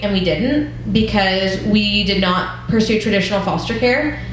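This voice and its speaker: A woman's medium-pitched voice with fairly even intonation and noticeable background noise. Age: 20s. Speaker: church class leader. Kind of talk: teaching talk with personal testimony. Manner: conversational.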